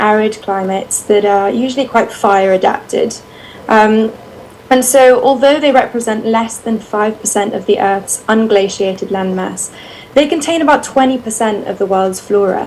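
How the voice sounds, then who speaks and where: A woman with a British accent and fairly high pitch, ordinary pitch variation, moderate pace, and noticeable background noise. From United Kingdom. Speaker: bat researcher. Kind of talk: presentation. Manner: hesitant, many fillers.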